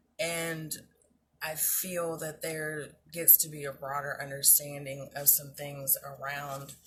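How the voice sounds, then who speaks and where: A woman's very deep, low voice, very slow and monotone, with noticeable background noise. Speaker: self-love coach / vlogger. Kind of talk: casual talk-to-camera advice. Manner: hesitant, many fillers.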